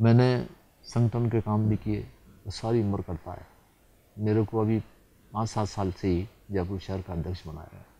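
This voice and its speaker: The man's voice is fairly low and has a dark, mellow tone with ordinary pitch variation. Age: 80s+. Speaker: politician. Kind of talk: TV interview.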